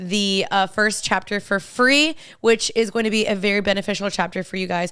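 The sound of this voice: With a fairly bright tone, a woman speaks at a moderate pace and a medium pitch.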